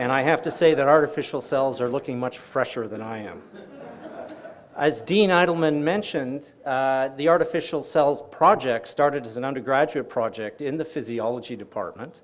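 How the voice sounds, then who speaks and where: A man with an unremarkable speaking voice talks at a moderate pace. His pitch is fairly high, with ordinary variation and big swings in loudness. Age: 60s. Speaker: professor and department chair. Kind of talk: formal speech.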